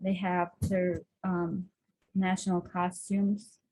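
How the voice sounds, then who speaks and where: At a very slow pace, a woman speaks in a medium-pitched voice. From Russia, Bashkortostan, Tatar town. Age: 30s. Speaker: nurse, home cook. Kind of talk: online cooking presentation.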